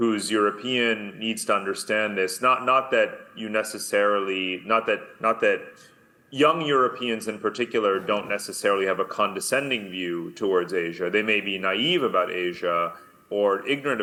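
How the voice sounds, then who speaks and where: With an American accent, a man talks at a moderate pace in a fairly low pitch with ordinary pitch variation. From US and Germany. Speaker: author and researcher. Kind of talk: conference talk. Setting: video call. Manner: emphatic.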